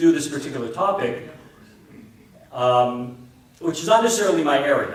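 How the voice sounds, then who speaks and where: A man talks with an American accent. Audible room echo and noticeable background noise surround him. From US Northeast, New Jersey. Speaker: Orthodox priest. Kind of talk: conference talk. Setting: conference hall with audience. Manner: loud.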